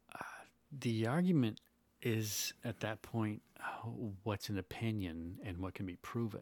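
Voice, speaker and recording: Long, frequent pauses break up a man's fairly slow speech. His voice is fairly low, with ordinary pitch variation. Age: 40s. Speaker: podcast guest. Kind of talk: casual chat.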